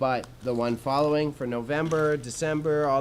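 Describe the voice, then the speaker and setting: Speaking with a Canadian accent in an animated tone, a man's voice carries audible room echo. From Alberta, Canada. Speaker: streamer and small business owner. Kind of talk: casual live stream chat. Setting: warehouse space streaming. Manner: casual, animated.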